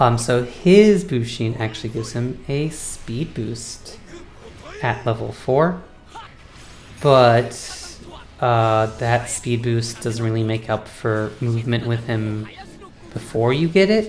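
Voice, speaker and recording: Music plays in the background. The pace is very slow, with long, frequent pauses. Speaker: video game streamer. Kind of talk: gameplay commentary. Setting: home recording setup. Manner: casual, filler-heavy.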